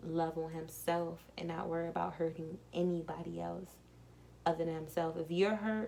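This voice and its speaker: A soft-spoken woman talks in a calm tone at a fairly low pitch. Her intonation stays monotone and flat. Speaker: tarot card reader. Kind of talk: tarot reading.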